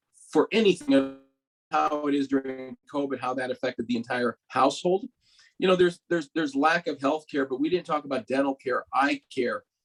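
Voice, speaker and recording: A man talks at a fairly quick pace with a fairly high pitch and ordinary pitch variation. The sound is dry and close with no echo, and music plays in the background. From Mexico, raised in Los Angeles. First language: Spanish. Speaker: doctor. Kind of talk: panel discussion.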